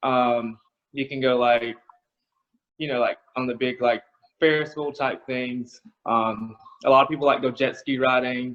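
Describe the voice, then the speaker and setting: Monotone, flat intonation marks this man's medium-pitched delivery. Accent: strong Southern US. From US South (South Carolina). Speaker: college student. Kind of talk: casual chat. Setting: video call. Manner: hesitant, many fillers.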